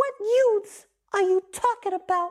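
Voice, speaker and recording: A woman's squeaky, extremely high put-on character voice. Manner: indignant, defensive, shouting.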